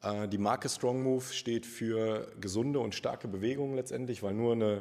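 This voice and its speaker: A man's dark, mellow tone in monotone, flat intonation. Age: 30s. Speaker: personal trainer. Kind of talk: casual interview.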